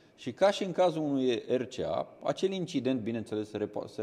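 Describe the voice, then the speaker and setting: A man's dark, mellow voice at a moderate pace, with very wide pitch swings. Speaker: dog trainer, runs a dog training school. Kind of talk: casual chat.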